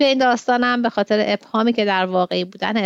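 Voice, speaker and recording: Against a quiet background, a woman with a medium pitch talks very fast and with fairly even intonation, the sound dry and close with no echo. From Iran, Tehran. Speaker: podcast host and literary translator. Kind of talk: literary commentary; reading aloud of a translated short story.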